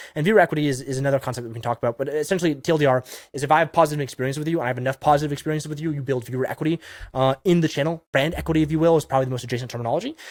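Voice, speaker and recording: A man with a fairly high pitch and an animated tone at a very fast pace, in a dry, close sound with no echo. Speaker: YouTube strategy consultant. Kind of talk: monologue advice video.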